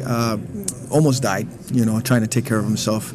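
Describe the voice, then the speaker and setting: Against noticeable background noise, a man talks with an American accent. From East Los Angeles. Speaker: percussionist. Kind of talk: interview.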